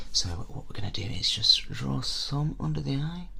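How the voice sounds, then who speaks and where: A soft-spoken man whispering over noticeable background noise. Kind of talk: ASMR role play. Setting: windy outdoors. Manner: soft-spoken, whispered.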